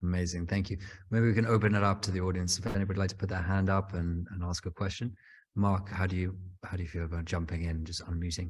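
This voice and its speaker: A man's very deep, low voice, somewhat breathy and monotone, at a very fast pace. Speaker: panel moderator. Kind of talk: moderated online panel.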